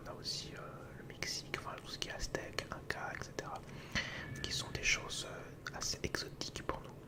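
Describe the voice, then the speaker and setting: The whispered words come at a medium speed against noticeable background noise. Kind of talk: ASMR educational talk.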